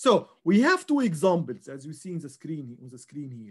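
Over a quiet background, a man's voice moves in very wide pitch swings. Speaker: instructor. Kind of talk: lecture.

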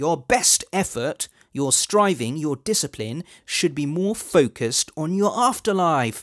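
The background is quiet. A man speaks at a fairly slow pace with lively intonation. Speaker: religious video host. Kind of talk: sermon-like commentary to camera. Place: studio. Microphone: headset.

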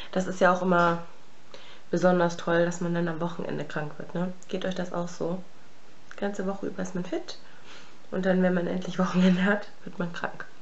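Speaking at a moderate pace with long, frequent pauses, a woman uses a fairly low, monotone, flat voice over light background noise. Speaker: beauty vlogger. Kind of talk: makeup tutorial chat. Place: home room. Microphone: phone near.

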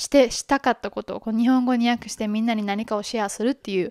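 A woman talks at a very fast pace and fairly high pitch, with fairly even intonation. The sound is dry with no echo, and the background is quiet. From Japan, Kobe (Hyogo); Japan. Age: 20s. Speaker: podcast host. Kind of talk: casual introduction monologue. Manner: halting, many fillers. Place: home room. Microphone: handheld.

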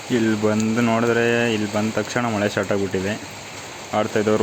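A man talks in a fairly low voice. Noticeable background noise can be heard. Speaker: vlogger. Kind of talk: vlog narration.

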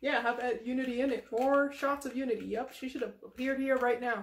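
A woman talks at a fairly quick pace in a cartoonish character voice. Her pitch sits high. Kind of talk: improvised comedy puppet skit. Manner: excitable, emotional.

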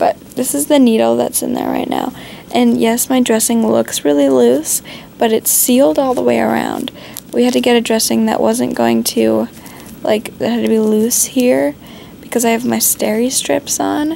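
There is light background noise as a woman speaks at a fairly slow pace. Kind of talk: casual vlog chat. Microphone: phone near.

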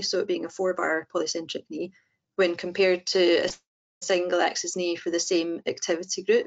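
Moderately paced speech from a woman, its pitch varying in an ordinary way. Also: quiet background. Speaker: prosthetist. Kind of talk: webinar presentation. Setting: online webinar. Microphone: video call.

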